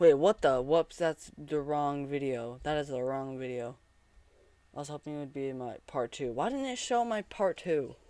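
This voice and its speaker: A quiet, dark, mellow voice in a dry, close sound with no echo. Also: man, fairly high pitch for a man, ordinary pitch variation, moderate pace. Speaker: sports podcast host. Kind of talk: casual reaction commentary. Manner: self-correcting, halting.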